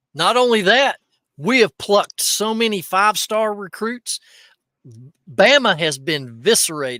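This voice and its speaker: A man with an Appalachian accent speaks in a high pitch, his voice raised and projected with a bright, sharp tone and lively intonation. He goes at a fairly slow pace, and the recording is very clean with a silent background and a dry, close sound with no echo. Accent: Southern US (Appalachian). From East Tennessee, near Knoxville. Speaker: reseller podcast host. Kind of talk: casual chat. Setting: livestream. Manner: animated.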